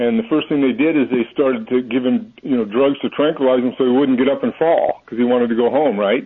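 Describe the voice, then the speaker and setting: Speaking at a very fast pace with hardly any pauses, a man with an American accent keeps his intonation fairly even. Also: medium pitch for a man. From California. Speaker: caller. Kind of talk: call-in radio talk. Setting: phone call.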